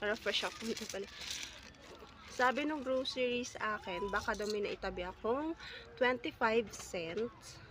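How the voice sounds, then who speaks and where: A woman speaks at a moderate pace with a fairly high pitch and ordinary pitch variation. Noticeable background noise runs under her voice. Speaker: vlogger. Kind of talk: casual vlog. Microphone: no mic.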